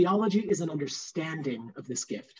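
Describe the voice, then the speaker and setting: Lively in intonation, a man talks at a moderate pace. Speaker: theology professor. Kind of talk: interactive lecture. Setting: video call. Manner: animated. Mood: warm, friendly. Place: home room.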